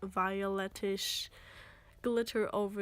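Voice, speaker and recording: With a non-native accent and a medium pitch, a woman talks over music in the background. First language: German. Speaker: makeup vlogger. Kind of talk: makeup tutorial narration. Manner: casual, hesitant.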